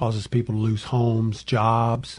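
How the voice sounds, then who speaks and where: A man's somewhat breathy, dark, mellow voice at a medium pitch, with a Southern US accent against a quiet background. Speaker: bankruptcy attorney. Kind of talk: radio call-in advice show. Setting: studio.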